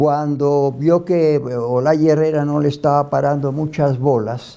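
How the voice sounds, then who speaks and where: At a very slow pace, a man speaks in a monotone, flat intonation, with very even loudness and a dark, mellow tone. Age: 80s+. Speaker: eyewitness and former political militant. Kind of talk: oral history interview. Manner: halting, with repetitions.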